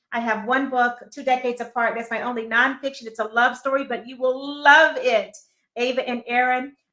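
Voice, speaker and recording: A woman speaks at a high pitch in a bright, sharp tone. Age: 60s. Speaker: motivational speaker and author. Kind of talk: interview.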